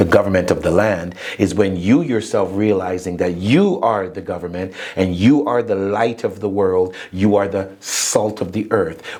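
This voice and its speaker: Pitch varies in an ordinary way. Background noise is noticeable. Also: man, fairly low pitch for a man, moderate pace. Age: 60s. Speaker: inspirational speaker and author. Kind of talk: interview.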